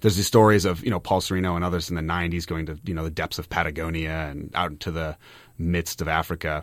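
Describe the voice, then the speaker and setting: A man talks very fast in a very deep, low pitch. His intonation is monotone and flat, and the recording is very clean with a silent background. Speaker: graduate student paleontologist. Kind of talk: casual radio interview. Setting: radio studio. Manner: friendly, explanatory.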